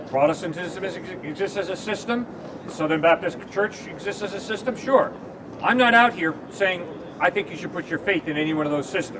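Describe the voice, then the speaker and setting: With noticeable background noise behind it, the voice moves at a fairly quick pace and shows ordinary pitch variation. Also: man, high pitch for a man. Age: 60s. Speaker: campus evangelist. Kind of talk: debate. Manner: animated.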